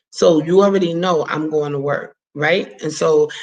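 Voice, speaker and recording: A woman's voice sits at a very deep, low pitch. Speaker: faith and business livestream host. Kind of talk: live stream chat. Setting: live video broadcast. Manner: animated, slightly fumbling.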